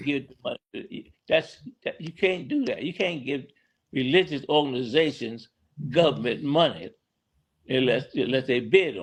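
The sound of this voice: A man's medium-pitched voice with a slightly husky edge, lively intonation and a moderate pace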